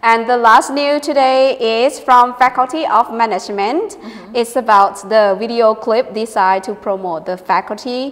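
Speaking at a moderate pace in a Thai accent, a woman with a fairly high voice shows ordinary pitch variation and big swings in loudness, with noticeable background noise behind her. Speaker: university lecturer co-hosting English radio show. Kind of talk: news reading.

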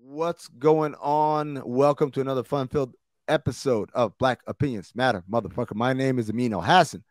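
Moderate pace from a man with ordinary pitch variation, the sound dry with no echo over a quiet background. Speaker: podcast host. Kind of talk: podcast intro, casual commentary. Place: home room. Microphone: studio mic.

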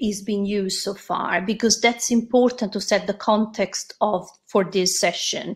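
Somewhat breathy, a woman speaks at a fairly slow pace over a quiet background. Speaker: presenter. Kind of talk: presentation talk. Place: home room. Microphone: webcam.

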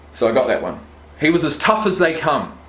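Room echo is audible here. It surrounds a man as he talks. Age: 20s. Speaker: YouTuber and rugby player; YouTuber. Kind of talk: casual vlog unboxing. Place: home room. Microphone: webcam.

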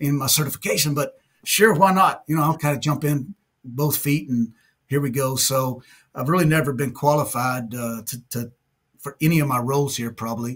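Somewhat breathy speech at a moderate pace, with ordinary pitch variation over a quiet background. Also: man. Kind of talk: interview answer. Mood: warm, modest. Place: office.

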